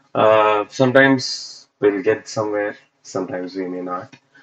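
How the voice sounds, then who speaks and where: The man has a non-native accent. He speaks fairly slowly. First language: not English. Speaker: UX designer livestreamer. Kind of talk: casual livestream while working. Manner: halting, many fillers.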